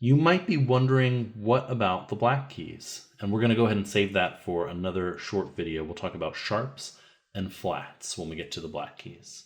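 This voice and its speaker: Here is an unremarkable speaking voice from a man at a medium pitch, moving at a moderate pace with hardly any pauses. His intonation is lively and his loudness swings widely. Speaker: music teacher. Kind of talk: tutorial.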